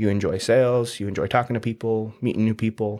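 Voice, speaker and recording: On a very clean recording with a silent background, a man with an unremarkable speaking voice speaks at a fairly quick pace with fairly even intonation. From southern Utah (St. George), early years in Hawaii. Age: young. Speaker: entrepreneur. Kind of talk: casual interview.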